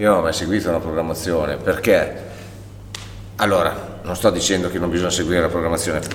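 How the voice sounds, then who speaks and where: Speaking at a very fast pace, a man has a very deep, low pitch. Audible room echo and noticeable background noise fill the recording. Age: 40s. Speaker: masters CrossFit athlete and gym owner. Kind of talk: casual interview. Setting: in his gym.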